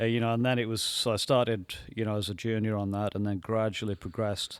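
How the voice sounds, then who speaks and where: A man with a northern English accent speaks very fast at a fairly low pitch. His intonation is monotone and flat, over a quiet background. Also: dry sound with no echo. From northern England, Workington, Cumbria; northern England. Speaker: animatronic designer and inventor; podcast guest. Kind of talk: casual interview chat. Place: studio. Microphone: studio mic.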